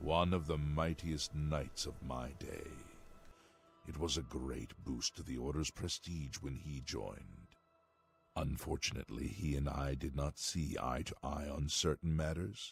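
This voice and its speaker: Faint music plays behind a man doing a put-on character voice at a very deep, low pitch. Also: moderate pace. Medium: video game. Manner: formal, archaic.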